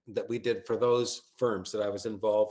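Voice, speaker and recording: A man with a Canadian accent has a plain, everyday voice, speaking at a medium pitch and a moderate pace. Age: 60s. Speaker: branding expert. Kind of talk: webinar presentation. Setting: video call webinar.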